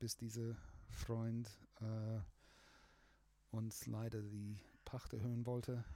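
A man's medium-pitched voice, dark and mellow in tone, very slow, with monotone, flat intonation. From Australia. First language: English (speaking German). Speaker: music producer. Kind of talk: casual chat. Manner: halting.

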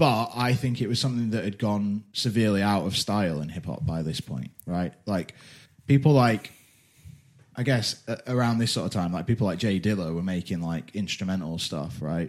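On a very clean recording with a silent background, a man with an unremarkable speaking voice talks at a moderate pace, fairly low in pitch, with lively intonation. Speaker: podcast host. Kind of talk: casual chat.

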